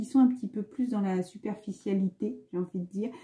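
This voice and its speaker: Somewhat breathy and dark, mellow in tone, a woman's medium-pitched voice moves at a fairly quick pace with fairly even intonation. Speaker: spiritual card reader. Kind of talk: spiritual card reading monologue. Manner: fast; hesitant, many fillers.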